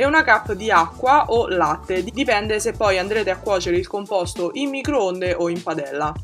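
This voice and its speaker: A woman speaks at a moderate pace with lively intonation, a medium pitch and hardly any pauses, with music playing in the background. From Italy. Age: 20s. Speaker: vegan food YouTuber. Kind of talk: recipe voice-over. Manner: casual, friendly.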